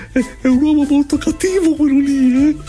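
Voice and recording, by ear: A put-on character voice speaks at a high pitch. Clear music plays in the background. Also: moderate pace.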